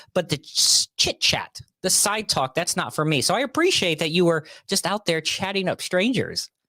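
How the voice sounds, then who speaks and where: A man's high-pitched voice with a bright, sharp tone, moderate pace, ordinary pitch variation, very even loudness and a dry, close sound with no echo. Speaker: podcast host. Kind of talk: casual chat. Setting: home office studio.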